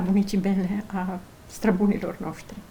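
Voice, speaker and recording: A woman talks at medium pitch and a fairly slow pace. Noticeable background noise is present. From Romania, Bihor county. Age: 50s. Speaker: folk artisan, egg decorator. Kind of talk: interview.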